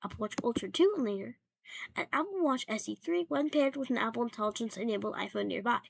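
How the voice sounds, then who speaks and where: A quiet woman's voice in a dry, close sound with no echo. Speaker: tech YouTuber. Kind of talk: casual tech commentary. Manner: quiet, hushed; hesitant, many fillers.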